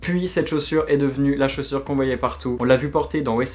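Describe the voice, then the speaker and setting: A man talks at a very fast pace. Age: 20s. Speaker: YouTuber. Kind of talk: casual video monologue.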